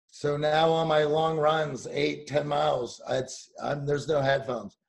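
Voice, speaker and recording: A somewhat breathy man's voice, fairly high in pitch, at a fairly slow pace. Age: 40s. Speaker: dating coach podcaster. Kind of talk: casual interview chat.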